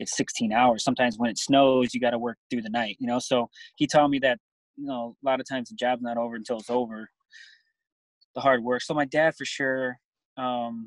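A man talks at a fairly quick pace in a monotone, flat intonation. The sound is dry with no echo over a quiet background. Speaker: interviewee, coach. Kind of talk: interview answer. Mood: reflective, warm. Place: car. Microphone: phone near.

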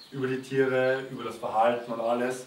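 A man speaks at a moderate pace and medium pitch, with light background noise and audible room echo. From Austria, Vienna. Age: 20s. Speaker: volunteer at animal sanctuary. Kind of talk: testimonial appeal to camera. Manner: halting, with fillers and repetitions. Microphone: camera far.

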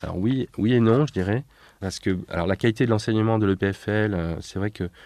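Here a man talks in a fairly low pitch with fairly even intonation. The sound is dry and close with no echo, over a quiet background. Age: 30s. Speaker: architect. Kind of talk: interview. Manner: hesitant, frequent fillers.

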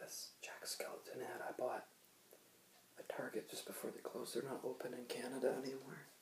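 Whispering, a man talks at a fairly quick pace. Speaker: vlogger. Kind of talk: casual vlog chat. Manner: soft-spoken, quiet ASMR voice. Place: home room. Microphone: webcam.

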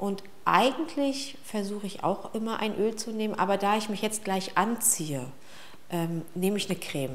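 Here a woman speaks with lively intonation. She keeps a moderate pace. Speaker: vlogger. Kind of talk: casual routine vlog chat. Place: bathroom.

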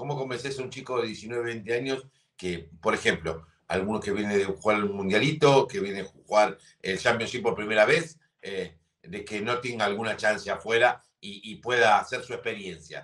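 A man speaks with a Rioplatense accent at a moderate pace, with ordinary pitch variation. His loudness swings widely against a quiet background. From Argentina. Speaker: sports TV host. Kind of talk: interview. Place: home room. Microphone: headset.

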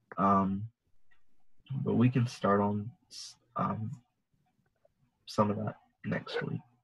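A man's fairly low, slow voice with vocal fry, a slightly husky edge and little pitch movement

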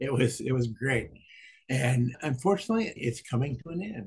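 A man speaks with lively intonation and a somewhat breathy sound. Behind him the background is quiet. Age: 80s+. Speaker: swim student, father. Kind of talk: interview answer. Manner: hesitant, repetitive. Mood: warm, grateful. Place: home room.

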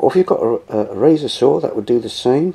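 Moderate pace from a man. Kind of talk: tutorial. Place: home room. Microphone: phone near.

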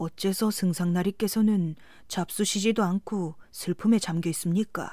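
At a very slow pace, a woman with a dark, mellow tone and medium pitch keeps a fairly even intonation in a very clean recording with a silent background. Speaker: audiobook narrator. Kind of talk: sleep story.

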